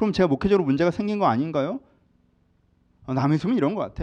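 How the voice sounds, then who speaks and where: A man rattles along at a very fast pace, his pitch swinging very widely. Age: 40s. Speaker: pastor. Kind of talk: sermon.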